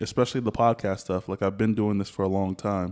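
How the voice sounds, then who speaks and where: A man speaks in a plain, everyday voice with an American accent and fairly even intonation. The background is quiet and the sound is dry and close, with no echo. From US South. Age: 30s. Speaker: podcast host. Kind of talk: casual chat.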